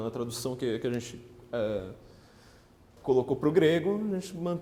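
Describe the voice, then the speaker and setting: Audible room echo surrounds a man's dark, mellow voice. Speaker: political writer and lecturer. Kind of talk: lecture. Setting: parish hall with live audience. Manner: fast.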